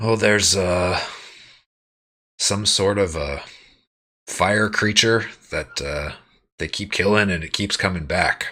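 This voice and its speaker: Putting on a raspy character voice, a man speaks fairly low and fairly slowly, with long, frequent pauses. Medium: actual play.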